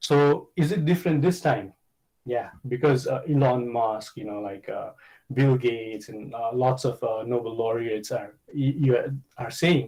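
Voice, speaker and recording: A man talks at a fairly slow pace and a medium pitch with ordinary pitch variation. His voice is somewhat breathy, with a dark, mellow tone. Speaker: conference speaker on economics. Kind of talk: conference presentation. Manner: hesitant, many fillers.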